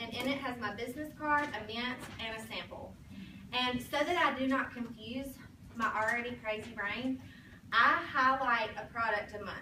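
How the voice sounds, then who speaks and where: Audible room echo surrounds a woman with a high voice. She speaks at a moderate pace in an American accent. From Alabama, US South (Sylacauga). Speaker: sales director, motivational speaker. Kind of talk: motivational talk to a sales team. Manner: animated.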